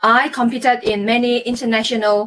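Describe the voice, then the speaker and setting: A high-pitched woman with a Malaysian accent. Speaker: former Olympic athlete and performance coach. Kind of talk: live stream talk. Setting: Facebook live stream.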